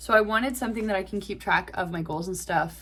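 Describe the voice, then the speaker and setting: This is a woman's voice. It carries vocal fry. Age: 20s. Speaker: classical singer and vlogger. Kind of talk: casual vlog monologue. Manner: casual with many filler words.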